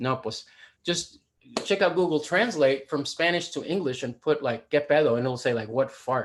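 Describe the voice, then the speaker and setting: Here a man with an American accent talks in an animated tone. His pace is moderate and his intonation is lively. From Deep South Texas (Rio Grande Valley). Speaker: poet and speaker on language. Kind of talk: lecture.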